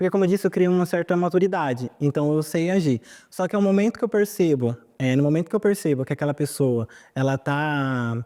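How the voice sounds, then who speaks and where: Delivered at a moderate pace, the speech comes on a very clean recording with a silent background. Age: young. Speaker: documentary interviewee. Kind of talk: testimony.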